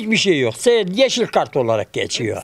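A man's high voice at a moderate pace, with light background noise. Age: 70s. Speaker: construction worker, earthquake survivor. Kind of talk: interview answer. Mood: weary, complaining about hardship. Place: street. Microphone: handheld.

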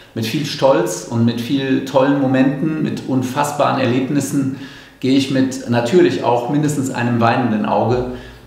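Audible room echo surrounds a man speaking at a moderate pace in a medium-pitched voice with fairly even intonation. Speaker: longtime arena announcer for a volleyball team, handing over the job. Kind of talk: farewell announcement to fans, talking to camera. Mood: proud, slightly wistful. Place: empty room. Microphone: handheld.

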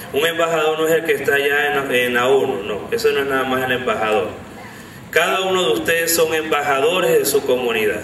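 With audible room echo, a man at medium pitch speaks at a fairly quick pace, his tone fairly bright and his pitch variation ordinary.

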